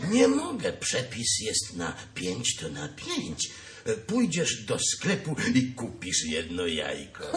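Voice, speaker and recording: Cartoonish character voice from a man at a fairly slow pace, with clear background noise. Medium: puppet show. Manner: bossy, fussy.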